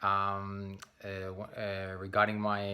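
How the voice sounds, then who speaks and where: Very deep and low in pitch, this man's voice has a bright, sharp tone. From Spain. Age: 30s. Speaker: English teacher. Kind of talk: self-introduction video. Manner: hesitant, many fillers.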